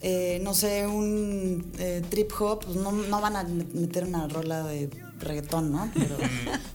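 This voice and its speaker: A woman's fairly low voice at a very slow pace, with audible room echo and music in the background. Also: ordinary pitch variation. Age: 30s. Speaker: architect and entrepreneur. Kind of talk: casual interview.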